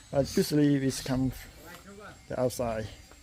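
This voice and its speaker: Noticeable background noise sits behind a man with a medium-pitched voice. He talks at a fairly slow pace with monotone, flat intonation. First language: not English. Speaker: vlogger touring a blacksmith workshop. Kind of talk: casual vlog walkthrough. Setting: blacksmith workshop in countryside. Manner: halting.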